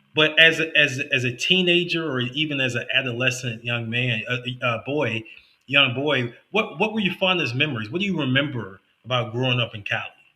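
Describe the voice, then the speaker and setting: An unremarkable speaking voice, a man with an American accent at medium pitch, lively intonation and a fairly quick pace. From United States. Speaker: podcast host. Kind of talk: podcast interview.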